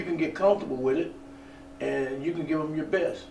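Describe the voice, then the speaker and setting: Amid noticeable background noise and audible room echo, a fairly high-pitched man with a Southern US accent talks at a fairly quick pace. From US South, eastern Alabama. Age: 60s. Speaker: actor, former radio announcer. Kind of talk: interview. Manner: halting, many fillers and repeats.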